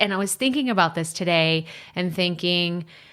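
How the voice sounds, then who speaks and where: With a Texas accent, a woman speaks with ordinary pitch variation. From Texas, USA. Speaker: podcast coach. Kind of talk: podcast episode, casual talk.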